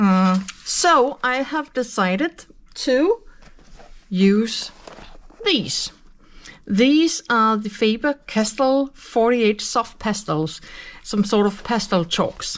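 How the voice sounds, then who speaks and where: A woman with a Danish accent speaks at a very slow pace and a fairly high pitch, with lively intonation and long, frequent pauses. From Denmark. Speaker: colouring youtuber. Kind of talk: tutorial. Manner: hesitant with fillers. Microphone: phone near.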